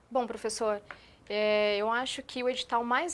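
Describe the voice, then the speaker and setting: A woman's fairly high-pitched voice comes through over a quiet background. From interior of São Paulo state, Brazil. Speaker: education coordinator. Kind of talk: TV interview.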